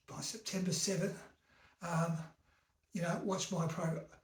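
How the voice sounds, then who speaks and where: In a room with audible echo, a man with a high pitch talks at a moderate pace. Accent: Australian. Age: 70s. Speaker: vlogger. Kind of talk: casual rant. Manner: animated.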